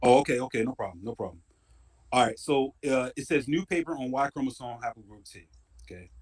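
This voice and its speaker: The speech moves at a fairly quick pace with ordinary pitch variation and big swings in loudness, in a dry, close sound with no echo. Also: man, medium pitch for a man. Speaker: DNA research presenter. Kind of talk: casual chat.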